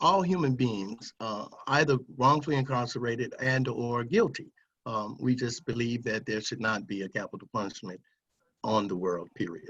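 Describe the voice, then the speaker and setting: The speaker has an American accent and lively intonation. The pace is moderate. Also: man, medium pitch for a man. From Ohio, US. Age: 60s. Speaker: death row exoneree, advocacy organization chairman. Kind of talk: panel discussion testimony. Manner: halting, many fillers.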